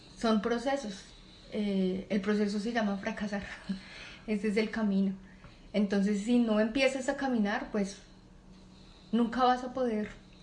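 A somewhat breathy, fairly high-pitched woman's voice with fairly even intonation. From Colombia, Bogotá. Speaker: mechanical engineer and entrepreneur. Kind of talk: interview. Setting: at a relative's home, not a studio.

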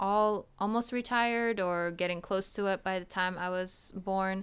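On a very clean recording with a silent background, a woman speaks at a fairly slow pace with a medium pitch and fairly even intonation. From Poland (Wrocław). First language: Polish. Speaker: podcast guest. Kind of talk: casual chat.

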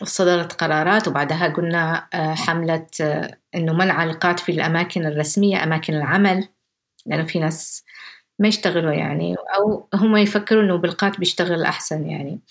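Here a woman talks with a fairly low pitch. Her pace is moderate and her intonation fairly even. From Yemen, Jibla. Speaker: activist. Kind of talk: interview testimony. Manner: soft-spoken.

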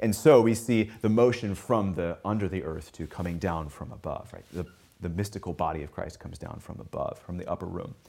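A man with a plain, everyday voice, fairly low in pitch, lively intonation, big swings in loudness and a fairly quick pace. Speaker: English professor. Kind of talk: lecture. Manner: formal.

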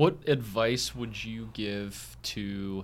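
A man with a plain, everyday voice, fairly low pitch and lively intonation. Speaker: podcast host. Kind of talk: casual interview chat.

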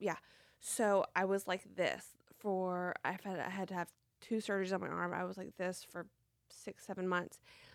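On a very clean recording with a silent background, a woman of medium pitch talks at a moderate pace in a monotone, flat delivery with a Tennessee accent. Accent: Southern US (Tennessee). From US South, Franklin, Tennessee. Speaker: car accident and brain injury survivor. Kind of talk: testimony.

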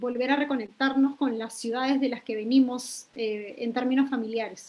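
At a moderate pace, a woman speaks in a high pitch with fairly even intonation, with noticeable background noise present. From Lima, Peru (Independencia district). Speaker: environmental educator. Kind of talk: interview conversation.

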